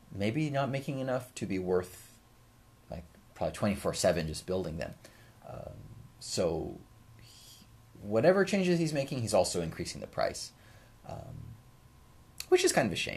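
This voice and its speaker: Mumbling at a moderate pace, a man speaks with long, frequent pauses and big swings in loudness. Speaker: shamisen teacher and livestream host. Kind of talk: casual livestream Q&A chat. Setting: YouTube livestream at home. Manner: hesitant, many fillers. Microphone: new microphone.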